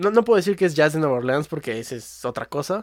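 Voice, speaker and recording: With a Mexico City accent, a man speaks at a fairly high pitch. His intonation is lively. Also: very clean recording, silent background. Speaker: music podcast host. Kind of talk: casual chat.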